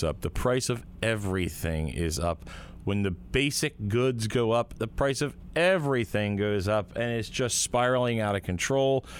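A man with a plain, everyday voice talks at a moderate pace in a fairly low pitch. His intonation is lively. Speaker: interviewer for legislator's report. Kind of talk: interview-style political report.

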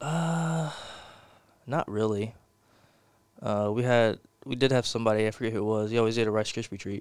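A man with an American accent talks at a fairly quick pace and medium pitch, with ordinary pitch variation and long, frequent pauses. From Texas, Porter (north Houston). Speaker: college baseball pitcher. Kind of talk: casual interview.

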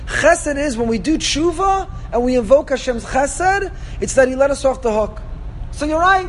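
An extremely high-pitched man's voice amid noticeable background noise. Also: lively intonation, moderate pace. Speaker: rabbi teaching a Torah class. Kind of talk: lecture. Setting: classroom with live audience.

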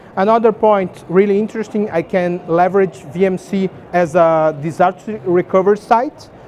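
Here a man talks at a fairly slow pace in a high pitch. Background noise is noticeable. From Brazil. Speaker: tech company engineer presenting at conference. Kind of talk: conference talk with demo.

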